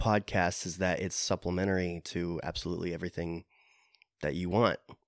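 On a very clean recording with a silent background, a man with a Midwestern US accent speaks at a very deep, low pitch in a dry, close sound with no echo. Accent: US Midwest. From Iowa, Des Moines area. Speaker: podcast co-host. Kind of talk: casual chat.

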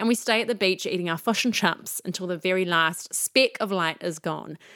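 A woman with a New Zealand accent speaks at a moderate pace, her tone bright and sharp. Her intonation is lively, and the recording is very clean with a silent background. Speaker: podcast host. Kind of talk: casual chat.

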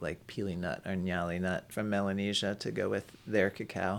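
Speaking at a moderate pace with an American accent, the man has a very deep, low voice with vocal fry and ordinary pitch variation. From New York City, Manhattan. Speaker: ethnobotanist and chocolate maker. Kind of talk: interview.

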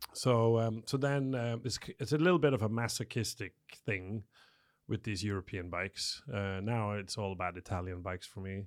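In a very clean recording with a silent background, a man speaks at a moderate pace in a normal speaking voice, fairly low in pitch and with ordinary pitch variation. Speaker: photographer and studio owner. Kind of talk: casual chat.

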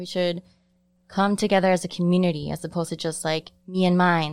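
A woman with an American accent, a normal speaking voice, fairly low in pitch at a fairly quick pace, on a very clean recording with a silent background. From Chicago, Pilsen. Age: 30s. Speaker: sociology student. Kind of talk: casual chat. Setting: separate room behind plexiglass.

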